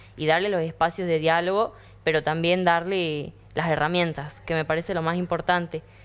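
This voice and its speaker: Fairly low-pitched for a woman, her voice moderate in pace with monotone, flat intonation. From Argentina, Tucumán; Argentina. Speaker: young panelist; panelist. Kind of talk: panel discussion. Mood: earnest, thoughtful. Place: studio. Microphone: lapel.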